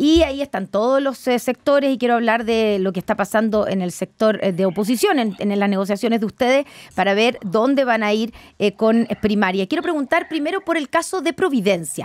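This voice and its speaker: A woman's lively intonation carries at a moderate tempo, the background quiet. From Chile. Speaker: radio host. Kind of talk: radio interview. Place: studio. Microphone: studio mic.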